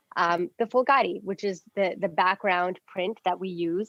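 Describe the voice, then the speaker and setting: A woman is speaking. Her pitch is medium and her pace moderate. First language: Punjabi. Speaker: fashion stylist and influencer. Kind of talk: interview.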